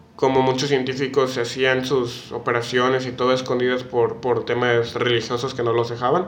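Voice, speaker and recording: A man speaks at a fairly quick pace and medium pitch in a Mexican accent, his intonation monotone and flat. Audible room echo and noticeable background noise fill the recording. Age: 19. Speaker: podcast co-host. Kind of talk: casual chat. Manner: halting, many fillers and repetitions.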